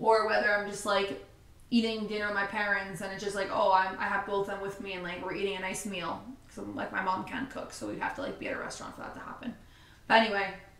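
In audible room echo, a woman speaks at a very fast pace with fairly even intonation. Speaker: vlogger. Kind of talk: casual sit-down chat. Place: home room.

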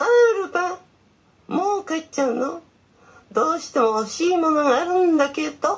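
A cartoonish character voice, female-sounding and extremely high-pitched, at a moderate pace with long, frequent pauses. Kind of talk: puppet theatre skit.

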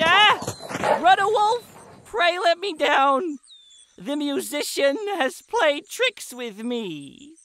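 A man's put-on character voice, extremely high in pitch and very slow in pace. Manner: flattering, then pleading.

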